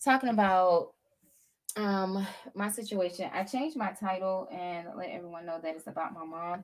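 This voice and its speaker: A woman with a fairly low pitch talks at a moderate pace, her pitch varying in an ordinary way. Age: 30s. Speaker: YouTuber. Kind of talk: casual livestream chat. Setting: home livestream with green screen. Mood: earnest, personal. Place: home room. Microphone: webcam.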